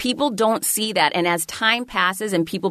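An unremarkable speaking voice at a moderate pace, with lively intonation. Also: woman. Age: 40s. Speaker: author and keynote speaker. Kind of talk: casual chat.

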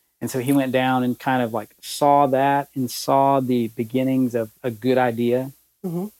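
With fairly even intonation, a man speaks in a Southern US accent, the sound dry and close with no echo. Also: medium pitch for a man, moderate pace. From Alabama. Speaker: promotional products sales executive. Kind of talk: casual interview.

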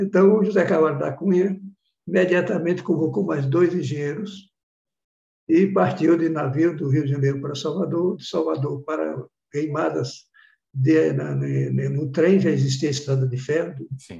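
A man talks at a moderate pace in a fairly high voice. His tone is dark and mellow, with ordinary pitch variation. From Bahia, Brazil (sertão). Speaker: professor, meteorite researcher. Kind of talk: interview, storytelling.

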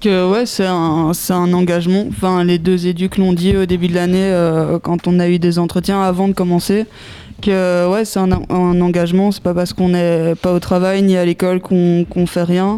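Amid noticeable background noise, a woman speaks at a moderate pace and fairly low pitch with monotone, flat intonation and very even loudness. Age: young. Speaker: youth project participant. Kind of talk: radio interview.

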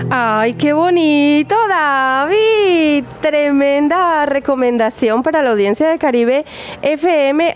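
The speaker is a woman. Her voice is high-pitched. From Colombia, Barranquilla. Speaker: radio host. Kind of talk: casual radio chat. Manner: animated.

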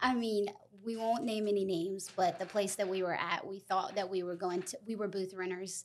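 A woman with a Southern US accent, medium in pitch, with monotone, flat intonation. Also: moderate pace. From US South (South Carolina). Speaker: nail technician and salon co-founder. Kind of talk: casual chat.

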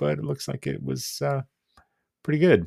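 A man at a fairly quick pace, with very wide pitch swings, in a dry, close sound with no echo and a very clean recording with a silent background. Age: 40s. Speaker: wrestling podcast host. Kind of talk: solo podcast commentary. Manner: casual with frequent fillers.

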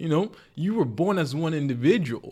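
A man talks in an ordinary speaking voice at a moderate pace with ordinary pitch variation, in a very clean recording with a silent background. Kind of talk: heated debate. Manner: argumentative, sharp, pressing back hard, interrupting.

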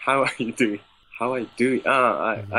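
A man's medium-pitched voice with fairly even intonation and a Japanese accent. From Japan, Ishikawa Prefecture. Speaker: English learner. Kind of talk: English lesson conversation. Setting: online call. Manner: halting.

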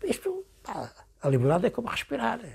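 A man's voice with vocal fry. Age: 80s+. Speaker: former political prisoner. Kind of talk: interview. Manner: halting.

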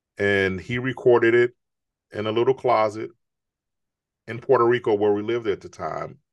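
Against a quiet background, a man with an American accent and an ordinary speaking voice talks at a medium pitch. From Chicago. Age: 50s. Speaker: author and entrepreneur. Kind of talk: interview.

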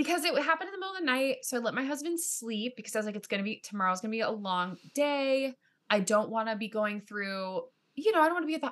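The speaker talks at a very fast pace with very wide pitch swings. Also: woman. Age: 30s. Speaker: actor and writer. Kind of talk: casual chat.

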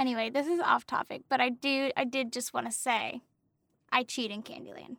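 A woman with an American accent speaks at a moderate pace in a high voice with a bright, sharp tone and fairly even intonation, in a dry, close sound with no echo. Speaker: general education teacher and podcast co-host. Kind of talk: casual chat.

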